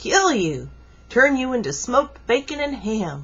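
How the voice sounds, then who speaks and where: At a moderate pace, a woman uses a high-pitched, put-on character voice. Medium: read story.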